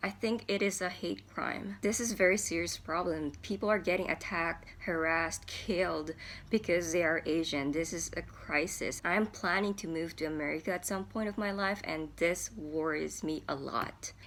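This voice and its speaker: A woman speaks at a moderate pace in a fairly low voice with vocal fry and lively intonation. The recording is very clean, with a silent background. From Japan. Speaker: vlogger. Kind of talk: commentary monologue.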